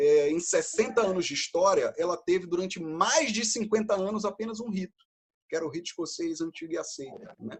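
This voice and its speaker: A man with a Brazilian accent speaks with a high pitch. His intonation is lively and his pace fairly quick. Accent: non-local Brazilian accent, noticeable. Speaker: freemason lecturer. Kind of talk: lecture.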